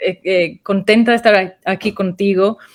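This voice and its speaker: A speaker with a non-native accent talks at a very slow pace. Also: woman. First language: English (speaking Spanish). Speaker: restorative justice consultant. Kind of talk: interview. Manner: halting.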